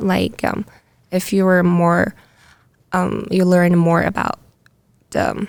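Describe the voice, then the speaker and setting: A woman with a Chinese accent talks at a very slow pace on a very clean recording with a silent background. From China. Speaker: international student. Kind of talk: casual interview chat. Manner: halting, many fillers.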